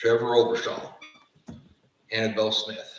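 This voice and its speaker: A man with a slight Appalachian accent talks at a fairly slow pace, with audible room echo. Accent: slight Appalachian twang. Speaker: fire science program director. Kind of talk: graduation ceremony speech. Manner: formal.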